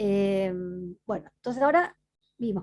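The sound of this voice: A woman's dark, mellow tone carries lively intonation.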